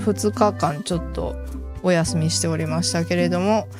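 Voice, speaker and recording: A woman with a Kansai accent at a moderate pace, with music in the background. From Kansai, Japan. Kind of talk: casual gameplay commentary.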